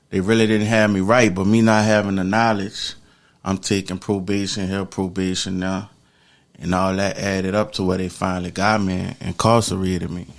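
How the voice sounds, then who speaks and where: A man talks at a moderate pace with an American accent. His fairly low voice stays monotone and flat. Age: 40s. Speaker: former prisoner. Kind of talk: interview. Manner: casual, slangy.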